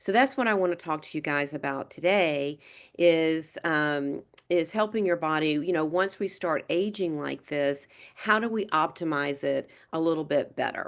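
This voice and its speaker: A woman's fairly low voice at a moderate pace, ordinary pitch variation and a quiet background. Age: 60s. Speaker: retired massage therapist. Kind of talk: casual chat. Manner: halting.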